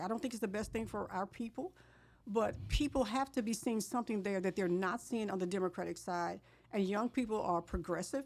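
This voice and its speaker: Talking at a fairly quick pace, a woman uses a plain, everyday voice with a fairly high pitch and lively intonation. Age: 60s. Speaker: politician. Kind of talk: interview.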